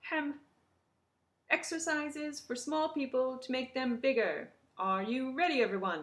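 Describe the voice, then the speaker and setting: A squeaky, put-on character voice moving at a moderate pace with lively intonation. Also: woman, high pitch for a woman. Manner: brisk and cheery.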